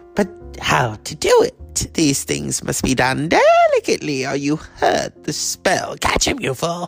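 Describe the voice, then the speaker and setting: A man's put-on character voice at a moderate pace, with faint music in the background. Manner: cackling, menacing.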